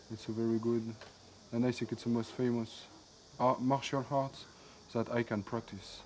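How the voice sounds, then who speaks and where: A man at a medium pitch with a French accent, monotone and flat in intonation, at a moderate pace with long, frequent pauses. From France. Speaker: kung fu summer camp student. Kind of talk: interview. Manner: halting.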